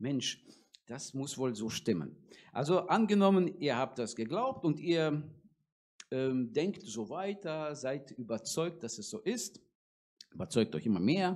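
A man speaks very slowly, leaving long, frequent pauses. His pitch swings very widely. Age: 40s. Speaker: preacher. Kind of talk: sermon. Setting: church. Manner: hesitant, many filler sounds. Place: church. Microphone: handheld.

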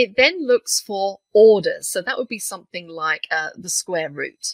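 A woman with a British accent at a fairly slow pace, in a dry, close sound with no echo. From UK. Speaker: software trainer. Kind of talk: tutorial.

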